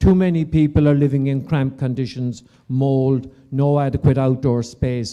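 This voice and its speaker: A man with an Irish accent speaks at a moderate pace, his fairly high voice carrying a dark, mellow tone. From Ireland. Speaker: property developer. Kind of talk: conference panel talk. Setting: conference stage with audience.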